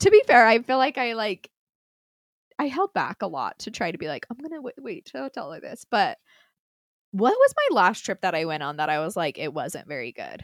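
In an American accent, a woman with a fairly high voice and vocal fry talks at a moderate pace, her pitch swinging very widely and her loudness rising and falling sharply, in a dry, close, echo-free recording that is very clean with a silent background. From Utah. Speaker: podcast co-host. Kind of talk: casual chat.

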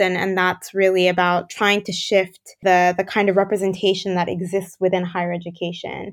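In a monotone with flat intonation, a woman talks at a medium pitch. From Japan, raised across Asia and North America. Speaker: researcher and nonprofit founder. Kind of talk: interview. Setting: remote call.

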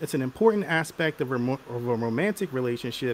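Lively intonation marks this man's normal speaking voice at a medium pitch. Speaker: show host. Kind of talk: casual panel discussion. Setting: online livestream.

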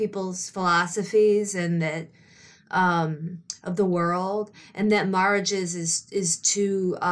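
A woman is speaking. She talks with a Midwestern US accent. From Detroit area, Michigan. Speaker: author and screenwriter. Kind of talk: casual interview chat.

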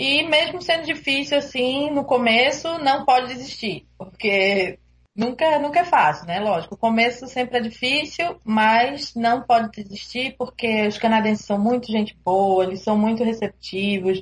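Speaking at a fairly slow pace with hardly any pauses, a woman uses a high pitch and lively intonation. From Brazil, Recife (Pernambuco). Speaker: international student. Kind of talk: interview.

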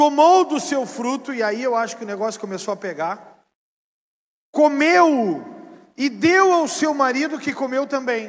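On a very clean recording with a silent background, a man with an extremely high pitch speaks fairly slowly in an animated tone with lively intonation. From southern Brazil. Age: 40s. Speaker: pastor. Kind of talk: sermon.

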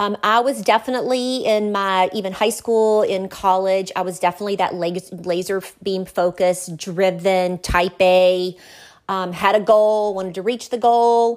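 On a very clean recording with a silent background, a woman speaks at a medium pitch in a Southern US accent with fairly even intonation. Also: moderate pace. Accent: Southern US (Georgia). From US South, small-town south Georgia. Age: 50s. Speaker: attorney and wealth management professional. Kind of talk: casual interview.

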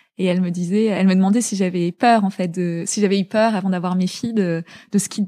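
A woman at medium pitch with a dark, mellow tone, fairly quick pace and fairly even intonation, in a very clean recording with a silent background and a dry, close sound with no echo. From France, Paris suburbs (born in Zaire). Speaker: fashion entrepreneur. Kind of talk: interview.

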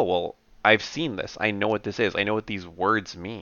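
Speaking at a fairly quick pace with ordinary pitch variation, a man uses an ordinary speaking voice. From Canada. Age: 30s. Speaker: software automation lead. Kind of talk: casual interview conversation.

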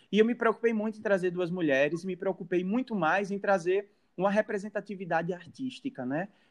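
Against a quiet background, a man speaks fairly quickly in a high pitch with ordinary pitch variation. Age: 20s. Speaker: podcast host. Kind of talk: casual chat.

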